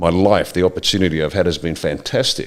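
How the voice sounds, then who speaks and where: A man with an Australian accent, very deep and low in pitch, at a fairly quick pace. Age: 60s. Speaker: political commentator. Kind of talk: impassioned monologue. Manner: animated.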